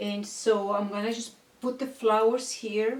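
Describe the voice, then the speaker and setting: The woman speaks very slowly in a monotone, flat delivery. Noticeable background noise runs underneath. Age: 60s. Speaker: beauty and fashion vlogger. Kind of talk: casual vlog talk and product review. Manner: halting with many fillers.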